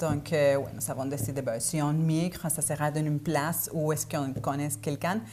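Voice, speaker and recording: Over music in the background, a woman with a very deep, low pitch talks at a moderate pace with fairly even intonation and hardly any pauses. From Argentina, Buenos Aires. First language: Spanish (speaking French). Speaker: business owner. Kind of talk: interview. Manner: hesitant, many fillers.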